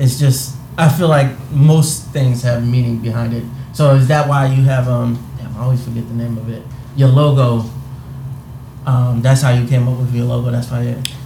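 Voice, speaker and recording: At a moderate pace, the speaker delivers a monotone with flat intonation over noticeable background noise. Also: man, medium pitch for a man. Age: 20s. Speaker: podcast co-host. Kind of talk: casual chat.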